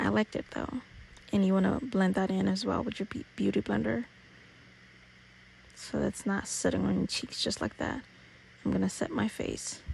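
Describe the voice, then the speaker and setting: A woman talks at a moderate pace. She leaves long, frequent pauses. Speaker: beauty YouTuber. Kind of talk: makeup tutorial. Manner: casual, playful.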